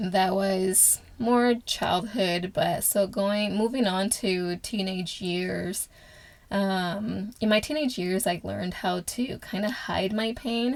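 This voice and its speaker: A woman speaks at a very slow pace, her pitch medium with ordinary variation. The recording is very clean, with a silent background. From Angola, moved to US at age 11. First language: Portuguese. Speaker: podcast host. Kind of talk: personal testimony. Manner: halting, many filler sounds.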